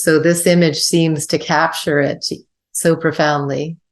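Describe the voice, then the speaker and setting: The pace here is fairly slow, with fairly even intonation. It is a normal speaking voice. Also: woman. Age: 60s. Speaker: podcast host. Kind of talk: interview conversation.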